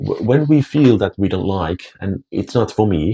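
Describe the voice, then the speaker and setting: Dark, mellow tone with very wide pitch swings, a fairly slow pace and a Finnish accent, in a dry, close sound with no echo. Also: man. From Finland. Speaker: language teacher and vlogger. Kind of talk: casual talk to camera. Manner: halting, many repetitions.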